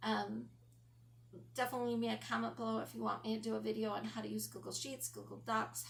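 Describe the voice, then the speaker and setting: Her speech is very rapid. The room gives her voice a clear echo. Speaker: lifestyle vlogger. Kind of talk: casual talk to camera. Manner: frequent ums, hesitant.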